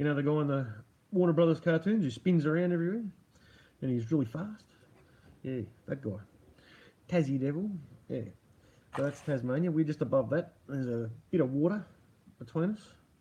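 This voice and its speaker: Speaking at a fairly quick pace with long, frequent pauses, a man with a fairly high pitch has a dark, mellow, somewhat breathy tone and lively intonation. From Australia, Melbourne. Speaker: livestream host. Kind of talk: casual livestream chat. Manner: casual, rambling.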